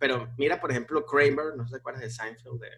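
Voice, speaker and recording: A man's normal speaking voice at medium pitch, moderate pace and fairly even intonation. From Venezuela. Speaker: comedian and actor. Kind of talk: casual chat.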